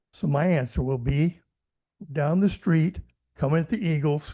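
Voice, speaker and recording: This man's voice is fairly high-pitched yet has a dark, mellow tone and is somewhat breathy. He keeps a moderate pace, and the sound is dry and close with no echo. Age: 90s. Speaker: senior resident giving public comment. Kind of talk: public comment at meeting. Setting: city planning commission meeting.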